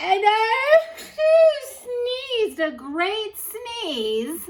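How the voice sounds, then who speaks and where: A woman uses a squeaky, put-on character voice at an extremely high pitch with very wide pitch swings. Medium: read story. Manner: chatty, excuse-making.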